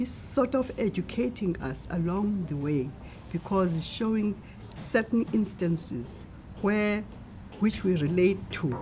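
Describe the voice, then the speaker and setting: A woman's voice in a South African accent with lively intonation at a fairly slow pace. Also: medium pitch for a woman. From South Africa, Eastern Cape (Stutterheim). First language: Xhosa. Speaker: translator. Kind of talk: interview.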